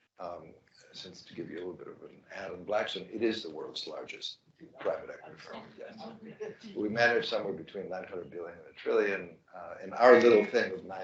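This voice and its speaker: A man talks at a fairly quick pace, his loudness swinging widely. Audible room echo surrounds his voice. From Greece (Thessaloniki). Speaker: life sciences investor. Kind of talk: fireside chat.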